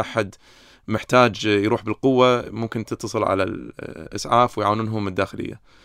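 A Kuwaiti accent at a fairly slow pace, on a very clean recording with a silent background. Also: man. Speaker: psychiatrist. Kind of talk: casual interview.

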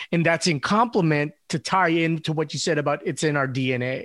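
A man with an American accent and an ordinary speaking voice talks at a moderate pace and fairly high pitch, on a very clean recording with a silent background. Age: 40s. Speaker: podcast host. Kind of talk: casual chat.

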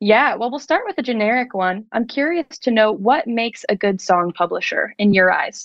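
A woman with an ordinary speaking voice and an American accent talks at a moderate pace and fairly high pitch, with lively intonation and hardly any pauses. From US Northeast, South Jersey. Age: young. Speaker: music publishing creative director. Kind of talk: casual interview.

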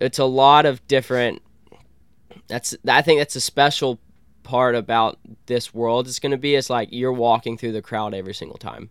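A man with an American accent and a normal speaking voice, medium pitch, fairly even intonation and a moderate pace, in a dry, close sound with no echo. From Columbus, Georgia, US South. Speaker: freestyle kayaker. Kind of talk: casual interview chat. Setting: in an RV.

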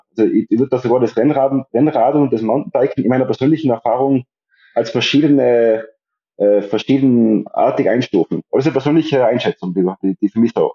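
Very fast male speech at a medium pitch with ordinary pitch variation. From Austria, Tyrol. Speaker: psychiatrist and amateur long-distance cyclist. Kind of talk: podcast interview. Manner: halting, many repetitions and fillers.

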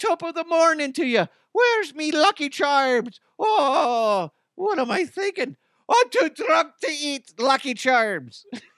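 In a put-on character voice with an Irish accent, a man talks at a fairly slow pace with an extremely high pitch. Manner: jovial, stereotyped.

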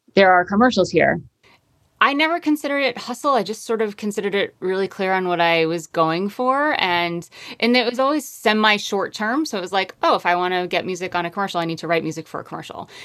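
Speaking very fast with lively intonation, a woman of medium pitch talks with an American accent. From US Northeast, Connecticut. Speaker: singer-songwriter and composer. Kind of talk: casual interview chat.

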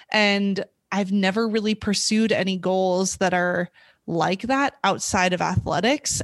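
A woman with a normal speaking voice and an American accent talks at medium pitch with fairly even intonation. The sound is dry and close with no echo, over a quiet background. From US West (California, Montana). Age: 20s. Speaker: former athlete, triathlete. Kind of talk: interview, casual conversation.

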